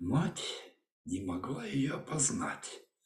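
Very slowly, a man speaks in a dark, mellow, somewhat breathy voice, with audible room echo and a quiet background. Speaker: storyteller. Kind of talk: fairy tale reading. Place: home room. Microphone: webcam.

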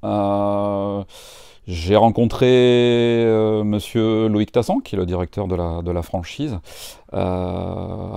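A man's dark, mellow voice at a very slow pace, with ordinary pitch variation, dry with no echo, against a quiet background. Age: 40s. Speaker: franchise owner. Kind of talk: interview. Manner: hesitant, many fillers. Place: shop. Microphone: lapel.

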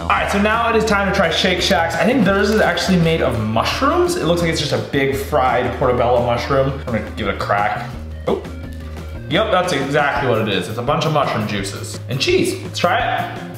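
A man at a fairly quick pace, with audible room echo and clear music in the background. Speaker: food vlogger. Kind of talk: casual food review vlog. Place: kitchen.

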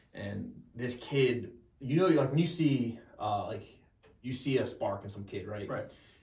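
The speaker sounds somewhat breathy, with an American accent. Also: man. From New Jersey. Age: 20s. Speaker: Marine and podcast host. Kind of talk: casual interview chat.

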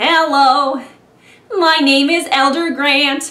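A put-on character voice comes through high-pitched and nasal. There is audible echo around it.

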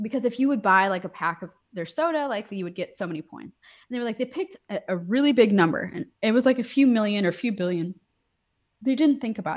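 A woman speaks fairly quickly in an American accent with lively intonation. The background is quiet. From US Northeast. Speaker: software engineer; podcast guest. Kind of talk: casual interview. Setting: video call. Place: home room.

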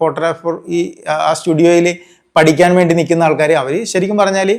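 This man's voice sits high in pitch and rises and falls in a normal way. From Kerala, Alappuzha district. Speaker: news photographer. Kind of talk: interview.

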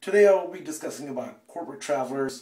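A man speaks fairly quickly in a room with audible echo and a quiet background. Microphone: phone near.

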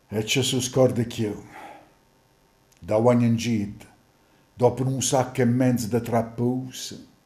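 A man with a dark, mellow, somewhat breathy tone speaks at a medium pitch and a very slow pace in a monotone, flat intonation. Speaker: stage actor. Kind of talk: dialect poetry reading.

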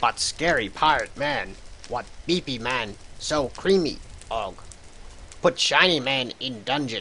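Over clear background noise, a man in a put-on character voice speaks at a medium pitch and a fairly slow pace, with long, frequent pauses. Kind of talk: broken speech, no articles, third-person.

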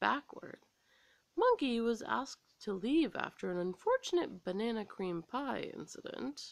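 The speech comes at a fairly slow pace against a quiet background. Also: woman. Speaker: story reader. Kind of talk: children's story read-aloud. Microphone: phone near.

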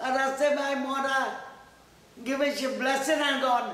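A man with an extremely high voice and a Trinidadian accent speaks in a raised, projected way with fairly even intonation, and room echo can be heard. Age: 80s+. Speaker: elderly interviewee. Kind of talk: interview answer. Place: home room.

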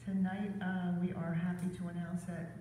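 A woman's fairly low voice with audible room echo and light background noise. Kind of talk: meeting report. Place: hall. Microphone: camera far.

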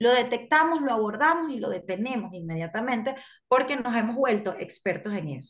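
At a moderate pace, a woman talks with lively intonation and a fairly high pitch over a quiet background. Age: 30s. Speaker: camp director. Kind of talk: radio interview. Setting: video call. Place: home room. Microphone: video call.

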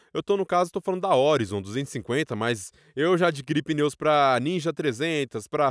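With a normal speaking voice, a man talks at a fairly quick pace with a fairly high pitch and lively intonation, the sound dry and close with no echo on a very clean recording with a silent background. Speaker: commercial voice-over announcer. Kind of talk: casual motovlog talk to camera.

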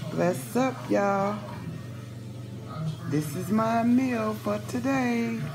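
A woman's voice sits very deep and low yet makes very wide pitch swings, over noticeable background noise. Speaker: home cook vlogger. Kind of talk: casual vlog chat. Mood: warm, upbeat, blessing viewers. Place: kitchen. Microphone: phone near.

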